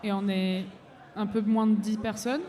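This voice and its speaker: A woman's fairly high, fairly slow voice in audible room echo. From abroad, came to France at 15. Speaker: singer-songwriter. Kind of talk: live radio interview. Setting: festival stage with audience.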